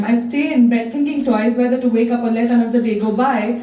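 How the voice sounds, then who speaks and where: A woman's high-pitched, very fast speech amid noticeable background noise. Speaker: spoken word poet. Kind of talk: spoken word poetry performance. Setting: live open mic.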